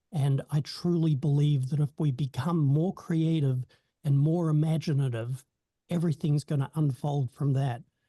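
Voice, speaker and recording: A man's somewhat breathy, dark, mellow voice sits at a fairly high pitch with fairly even intonation and very even loudness, moving at a moderate pace in a dry, close sound with no echo. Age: 60s. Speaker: hypnotherapy company co-founder. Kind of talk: networking self-introduction. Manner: halting, many fillers.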